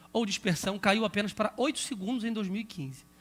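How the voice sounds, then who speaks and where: A man talks at a fairly quick pace in a high pitch with a bright, sharp tone. The recording is very clean, with a silent background. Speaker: pastor and Bible school teacher trainer. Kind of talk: lecture. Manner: fast.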